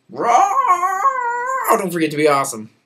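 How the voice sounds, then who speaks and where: Moderate pacing in a put-on character voice from a man. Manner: playful, silly, roaring.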